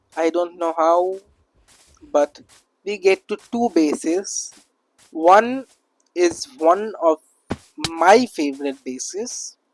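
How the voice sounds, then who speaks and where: A very slow pace with long, frequent pauses, set over music in the background. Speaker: gaming youtuber. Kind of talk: game commentary. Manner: halting, many fillers.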